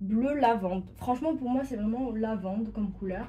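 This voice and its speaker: In a room with audible echo, a woman speaks at a fairly high pitch in a dark, mellow tone. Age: 20s. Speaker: sewing YouTuber. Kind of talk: casual vlog presentation. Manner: hesitant, many fillers.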